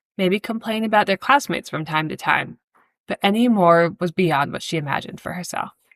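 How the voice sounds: In a natural reading voice with ordinary pitch variation, the speaker is heard over a quiet background.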